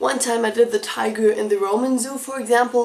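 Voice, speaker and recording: Over noticeable background noise, a woman with a German accent talks at a moderate pace. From Germany. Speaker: art school applicant. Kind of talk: casual tutorial walkthrough. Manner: halting.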